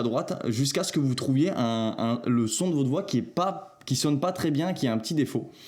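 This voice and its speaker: A man delivers his words at a moderate tempo and with lively intonation. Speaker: video editing tutorial creator. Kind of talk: tutorial. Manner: casual, hesitant with filler sounds.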